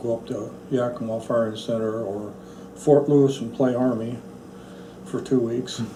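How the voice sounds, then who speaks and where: Over noticeable background noise and audible room echo, a man with an American accent speaks at a medium pitch and moderate pace, with fairly even intonation, big swings in loudness, and long, frequent pauses. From central Oregon, US. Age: 70s. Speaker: National Guard veteran. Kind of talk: oral history interview.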